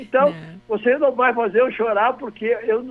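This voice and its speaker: A man's extremely high-pitched voice with lively intonation. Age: 80s+. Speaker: businessman and blood donation campaigner. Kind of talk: radio interview.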